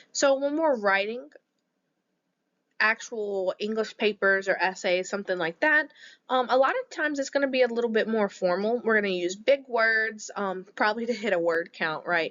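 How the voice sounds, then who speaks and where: A woman's fairly high pitch in a normal speaking voice, with lively intonation at a moderate pace. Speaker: teacher. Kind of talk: lecture. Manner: conversational.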